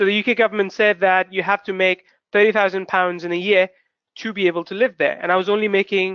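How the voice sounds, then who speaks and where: With a non-native accent, a man talks at a fairly quick pace in a high voice with monotone, flat intonation. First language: not English. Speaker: webinar host, online marketer. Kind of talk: webinar presentation. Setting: live webinar broadcast. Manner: fast; rambling, constructs sentences as he goes.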